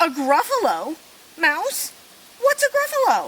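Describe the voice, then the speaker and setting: A woman puts on a character voice, squeaky and extremely high in pitch. She talks at a fairly slow pace. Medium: read story.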